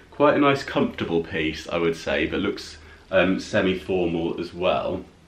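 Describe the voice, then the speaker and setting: A man with a very deep, low pitch at a moderate pace, with audible room echo. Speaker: haul vlogger. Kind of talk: casual vlog chat. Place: home room.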